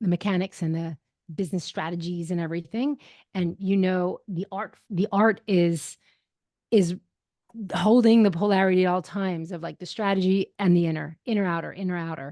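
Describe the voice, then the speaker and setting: At a fairly quick pace, a woman speaks with a dark, mellow tone and a medium pitch, her intonation fairly even, the sound dry and close with no echo over a quiet background. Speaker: impact investing expert. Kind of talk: podcast interview. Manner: fast.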